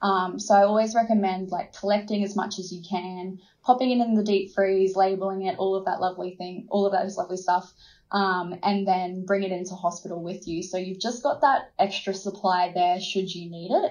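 Fairly quick speech with fairly even intonation, in an Australian accent. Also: woman, medium pitch for a woman. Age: 20s. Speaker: midwife and nurse. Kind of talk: interview about pregnancy and birth.

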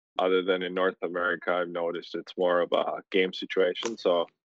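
In a dry, close sound with no echo, a man speaks at a low pitch with little pitch movement.

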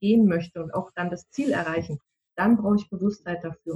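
A woman's somewhat breathy voice with a dark, mellow tone and ordinary pitch variation. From Munich, Bavaria. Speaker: decision-making coach. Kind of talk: interview.

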